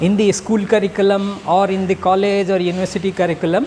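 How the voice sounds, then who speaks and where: A man with a Bihar accent and a high pitch speaks at a fairly quick pace, with noticeable background noise and audible room echo. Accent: Indian English (Bihar). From India, Bihar. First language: Magahi. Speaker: academic speaker. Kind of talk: public speech.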